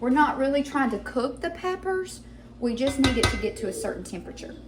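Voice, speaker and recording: A woman speaks loudly and fairly quickly in a high voice with very wide pitch swings, amid noticeable background noise and audible room echo. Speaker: home cooking channel host. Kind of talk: cooking tutorial.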